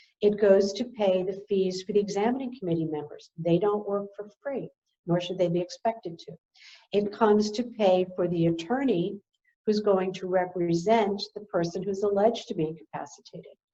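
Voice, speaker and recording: A woman's dark, mellow tone at a moderate pace, with ordinary pitch variation. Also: medium pitch for a woman, big swings in loudness. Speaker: elder law attorney. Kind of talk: webinar presentation.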